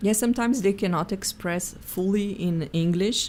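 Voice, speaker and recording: A woman with a Portuguese accent speaks at a moderate pace with ordinary pitch variation. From Brazil, Sao Paulo. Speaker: executive coach. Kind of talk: interview.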